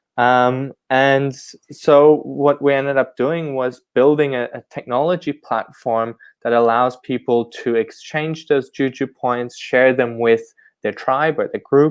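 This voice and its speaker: A man's medium-pitched voice, monotone with flat intonation, at a fairly slow pace. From mixed upbringing: Ghana, Germany, Cameroon, Laos. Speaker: tech startup founder and CEO. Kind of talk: podcast interview.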